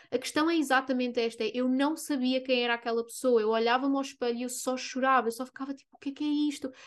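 A woman's high-pitched voice at a fairly quick pace against a quiet background. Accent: European Portuguese. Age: 20s. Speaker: spiritual coach and podcast host. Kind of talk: casual monologue.

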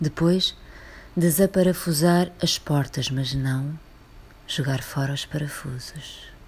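Very slowly, a woman with a very deep, low pitch speaks in a somewhat breathy voice with fairly even intonation. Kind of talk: poem performed, a reflective, literary reading aloud. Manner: slow, contemplative, intimate delivery with weighty pauses and repeated lines.

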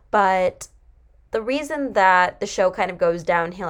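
In a very clean recording with a silent background, a woman has an ordinary speaking voice at medium pitch with ordinary pitch variation. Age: 20s. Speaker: podcast host and college student. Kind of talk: casual monologue, TV show commentary.

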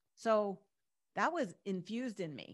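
A woman with a normal speaking voice talks at a medium pitch with ordinary pitch variation on a very clean recording with a silent background. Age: 50s. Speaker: pharmacist and business consultant. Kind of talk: podcast interview.

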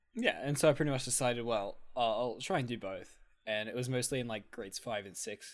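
Talking at a fairly quick pace in an Australian accent, a man keeps a medium pitch with ordinary pitch variation. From Australia, country town. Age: 20s. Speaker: podcast co-host. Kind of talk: casual chat.

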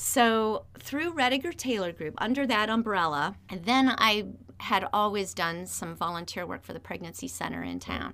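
A woman speaks with a bright, sharp tone at medium pitch and a moderate pace, with hardly any pauses. Her intonation is lively, her loudness swings widely, and the recording is very clean with a silent background. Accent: Midwestern American. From Northeast Ohio. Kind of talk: interview conversation. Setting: radio studio. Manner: energetic, enthusiastic.

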